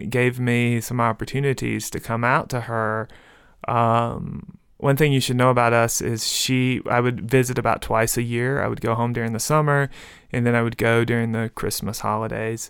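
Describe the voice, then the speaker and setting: The recording is very clean, with a silent background. A man talks at a medium pitch with fairly even intonation. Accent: Mississippi. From rural Mississippi, US South. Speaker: novelist and professor. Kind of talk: interview.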